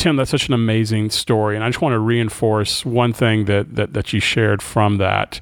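At a moderate pace, an unremarkable speaking voice moves with ordinary pitch variation. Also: man, fairly low pitch for a man. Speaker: co-host. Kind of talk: interview conversation.

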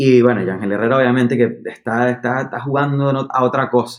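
A man's flat, monotone delivery at a medium pitch and a fairly quick pace. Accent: Venezuelan. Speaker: podcast host. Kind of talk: casual chat.

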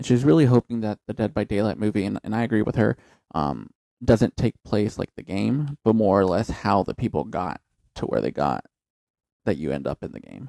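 A man's fairly low voice, dark and mellow with vocal fry, lively intonation, a fairly quick pace and a dry, close sound with no echo. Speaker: podcast co-host. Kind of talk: casual chat. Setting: home studio. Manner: joking, profane.

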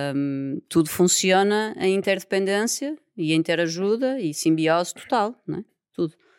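In a very clean recording with a silent background, a woman with a European Portuguese accent speaks at medium pitch and a fairly slow pace with lively intonation, the sound dry and close with no echo. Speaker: environmental engineer and yoga teacher. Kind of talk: casual interview chat.

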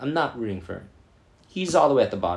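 A somewhat breathy man speaks with an American accent at a medium pitch. His pitch swings very widely. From New York. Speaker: language learner and TV show commentator. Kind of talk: casual solo commentary. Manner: hesitant, many fillers.

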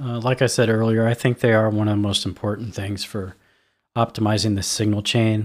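A normal speaking voice from a man at a medium pitch and moderate pace, on a very clean recording with a silent background. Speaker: audio engineering expert co-host. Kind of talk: casual educational chat. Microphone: dynamic studio microphone, speaking close.

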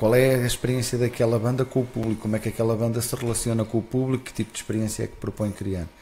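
Against noticeable background noise, a man speaks at a very fast pace and medium pitch with monotone, flat intonation. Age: 40s. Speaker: festival founder. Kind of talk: casual interview. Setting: live broadcast.

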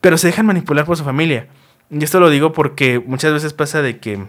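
This man's fairly high voice moves along at a fairly quick pace. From Mexico. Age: 20s. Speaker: podcast host. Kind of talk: casual monologue. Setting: recorded on camera. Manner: animated.

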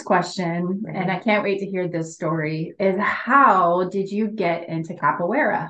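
A woman with a plain, everyday voice, medium in pitch, fairly slow with hardly any pauses and ordinary pitch variation. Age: 40s. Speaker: podcast host. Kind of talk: interview.

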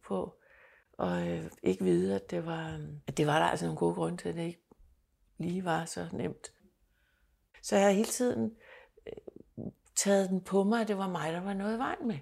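A woman speaking at a fairly slow pace with long, frequent pauses, on a very clean recording with a silent background. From Denmark. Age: 60s. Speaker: adoptee sharing her story. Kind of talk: personal testimony interview. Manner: halting, repeats words.

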